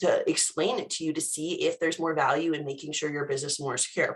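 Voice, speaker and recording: A woman with a normal speaking voice talks at a fairly quick pace and a fairly low pitch. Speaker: cybersecurity company presenter. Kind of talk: webinar presentation. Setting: video call. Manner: casual, conversational.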